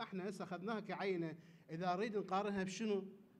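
This man talks at a very fast pace with an Iraqi accent. His high voice stays monotone, with flat intonation. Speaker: conference panel researcher. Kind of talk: conference talk. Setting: conference hall with audience. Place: hall. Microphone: podium.

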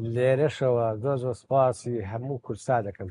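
A man with a medium-pitched, somewhat breathy, dark and mellow voice is heard in a dry sound with no echo and light background noise. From Iraqi Kurdistan, Sulaymaniyah; Iraqi Kurdistan. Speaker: baker and photo archive collector; interviewee. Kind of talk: interview.

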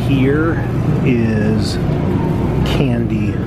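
Music plays behind the voice. The speaker is a man. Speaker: vlogger shopping. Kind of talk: casual vlog chat. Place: shop.

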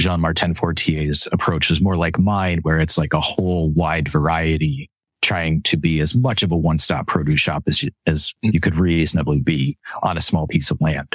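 A man with an American accent speaks at a moderate pace with a very deep, low pitch and very even loudness, in a dry, close sound with no echo. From upstate New York. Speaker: small-scale vegetable farmer. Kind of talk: interview.

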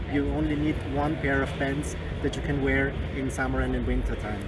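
Loud background noise sits behind a man talking at a moderate pace. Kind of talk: interview answer. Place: hall. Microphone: handheld.

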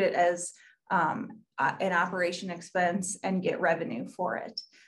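A woman speaks with fairly even intonation. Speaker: local newspaper reporter. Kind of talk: panel discussion. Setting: video call. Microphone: video call.

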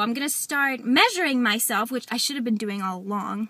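A woman at a high pitch with ordinary pitch variation and a fairly quick pace, dry sound with no echo, and a quiet background. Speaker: weight loss vlogger. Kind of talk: vlog update. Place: car. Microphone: phone near.

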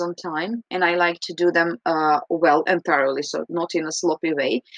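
Speaking at a moderate pace with a Croatian accent, the voice keeps a fairly even intonation. The background is quiet, and the sound is dry with no echo. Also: woman. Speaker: English teacher. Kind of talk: recorded reflection. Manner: hesitant, frequent fillers. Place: home room. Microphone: webcam.

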